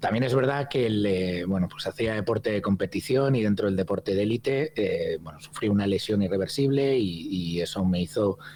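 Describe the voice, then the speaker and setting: Fairly low male voice at a fairly quick pace, with ordinary pitch variation over noticeable background noise. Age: 50s. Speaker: hospitality consultant and trainer. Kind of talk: podcast interview. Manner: hesitant, many fillers and repetitions.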